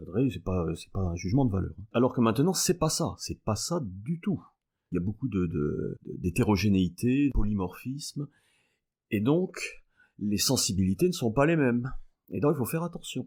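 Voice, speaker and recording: A dark, mellow tone with very wide pitch swings at a moderate pace, on a very clean recording with a silent background. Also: man, medium pitch for a man. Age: 60s. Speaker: mathematics professor. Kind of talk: podcast interview. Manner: hesitant, many filler sounds.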